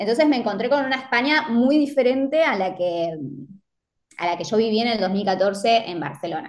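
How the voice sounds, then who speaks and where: A woman speaks in an Argentine accent with lively intonation. Her pitch is fairly high and her pace moderate. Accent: Rioplatense Argentine Spanish. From Argentina, Mar del Plata. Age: 30s. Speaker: fashion designer and social media marketer. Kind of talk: casual interview chat. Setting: remote call.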